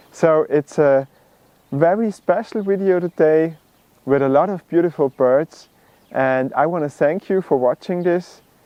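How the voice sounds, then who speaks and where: A man in an Austrian accent, fairly high in pitch, at a fairly slow pace with ordinary pitch variation. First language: German. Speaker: bird video creator. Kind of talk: video introduction.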